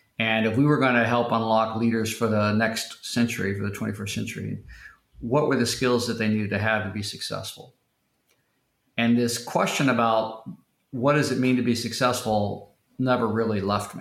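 A man at medium pitch with an American accent, monotone and flat, at a moderate pace, with audible room echo. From Oklahoma (Tulsa). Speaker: school founder and education investor. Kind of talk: podcast interview.

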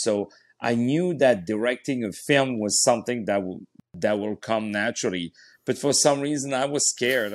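Speaking at a moderate pace with ordinary pitch variation, a man with a French accent is heard on a very clean recording against a silent background. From France, Paris. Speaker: opera singer and actor. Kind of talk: interview.

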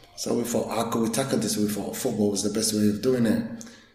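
Very fast, monotone, flat speech from a man, with audible room echo and noticeable background noise. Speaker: youth football coach and community leader. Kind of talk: interview.

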